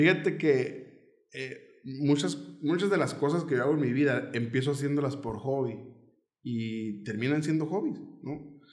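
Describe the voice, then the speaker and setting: A man speaks at a fairly slow pace with a fairly high pitch and ordinary pitch variation, and audible room echo surrounds his voice. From Mexico, Nogales, Sonora. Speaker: comedian. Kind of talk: casual chat.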